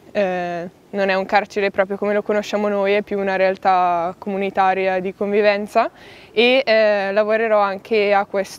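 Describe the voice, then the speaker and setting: A woman speaks at a moderate pace with monotone, flat intonation in a dry sound with no echo. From northern Italy, Bergamo; Italy. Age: 20s. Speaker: prospective lay missionary volunteer. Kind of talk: personal testimony to camera. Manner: halting, with many fillers. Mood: calm, thoughtful. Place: forest.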